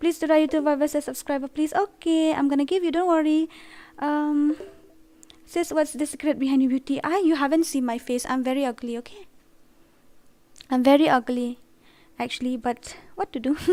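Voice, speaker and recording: Taking long, frequent pauses between fairly quick stretches, a woman speaks at a high pitch with ordinary pitch variation. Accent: northeastern Indian. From Northeast India, Khasi. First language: Khasi. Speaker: gaming streamer. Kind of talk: live gaming stream chat. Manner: animated.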